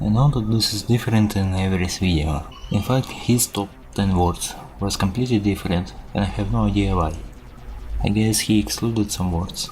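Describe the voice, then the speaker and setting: Music plays behind a man with a non-native accent who speaks at a moderate pace in a fairly low voice. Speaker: programmer. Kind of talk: casual video narration.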